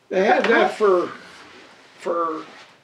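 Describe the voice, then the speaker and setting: A man with an American accent talks in a high pitch. Noticeable background noise runs under his voice. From East Palestine, Ohio. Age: 80s+. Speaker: retired railroad brakeman. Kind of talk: interview answer.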